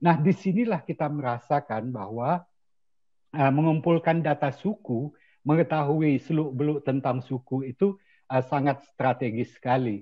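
A man speaks at a fairly slow pace, somewhat breathy. The background is quiet. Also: fairly high pitch for a man, ordinary pitch variation. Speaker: statistician; webinar presenter. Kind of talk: online academic presentation. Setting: video call. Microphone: video call.

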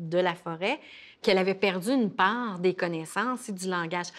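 This woman talks at a moderate pace in a medium-pitched voice with ordinary pitch variation. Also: very clean recording, silent background. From Quebec, Innu First Nation. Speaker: professor and former journalist. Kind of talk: interview. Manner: halting, many fillers.

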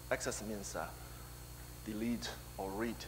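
A man at a moderate pace amid noticeable background noise. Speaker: conference presenter. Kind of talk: technical conference talk. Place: hall.

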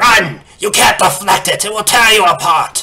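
A man performs a put-on character voice at a high pitch, raised and projected. Music plays in the background. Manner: urgent, desperate.

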